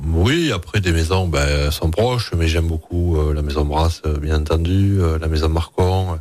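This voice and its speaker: With a southwestern French accent, a man speaks at a fairly slow pace in a very deep, low pitch, with fairly even intonation and very even loudness over noticeable background noise. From Hautes-Pyrénées, southwest France. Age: 40s. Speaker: chef. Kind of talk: radio interview.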